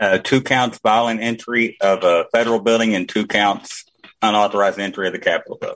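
Here a man speaks in a plain, everyday voice. His intonation stays fairly even. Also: medium pitch for a man, fairly quick pace. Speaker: military veteran and caller. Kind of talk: casual chat. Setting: video call.

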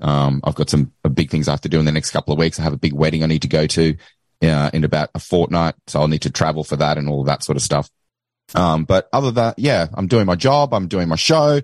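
A man with an Australian accent speaks at a very fast pace in a very deep, low voice with ordinary pitch variation. The sound is dry and close, with no echo. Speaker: podcaster. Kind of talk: casual chat.

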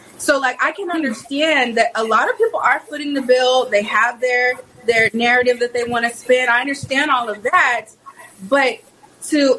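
The speaker is a woman with a high voice and ordinary pitch variation, talking at a moderate pace. There is noticeable noise in the background. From Texas, Houston. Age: 30s. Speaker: conservative activist. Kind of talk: casual chat.

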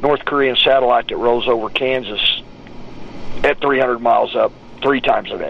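A man with an American accent at a moderate pace, noticeable background noise behind him. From West Texas (Odessa). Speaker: political talk show guest. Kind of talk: casual chat.

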